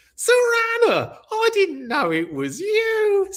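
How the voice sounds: This put-on character voice sits at an extremely high pitch, squeaky and raspy. It moves at a very slow pace.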